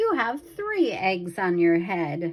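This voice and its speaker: A female-sounding voice at medium pitch takes on a put-on character voice. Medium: read story. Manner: calm, cheerful.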